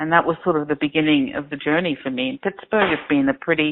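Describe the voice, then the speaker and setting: A woman speaks with an Australian accent in a very deep, low voice. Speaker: crowdfunding platform founder. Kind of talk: interview. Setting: phone call.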